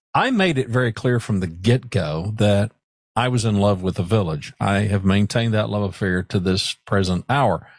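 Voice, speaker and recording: A man with a plain, everyday voice talks at a moderate pace and a fairly low pitch, with ordinary pitch variation and very even loudness, in a dry, close sound with no echo over a quiet background. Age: 60s. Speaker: podcast host. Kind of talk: solo podcast monologue.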